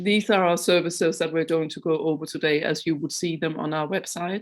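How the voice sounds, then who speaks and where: At a fairly quick pace, a woman talks in a fairly low voice. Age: 50s. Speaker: chair of a neurodiversity organisation. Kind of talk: online launch presentation. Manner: hesitant, many fillers.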